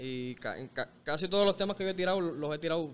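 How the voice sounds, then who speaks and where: A man talks at a very fast pace with ordinary pitch variation. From Puerto Rico, Bayamón area. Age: 20s. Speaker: reggaeton artist. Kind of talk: casual interview chat. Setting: studio. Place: street. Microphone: studio mic.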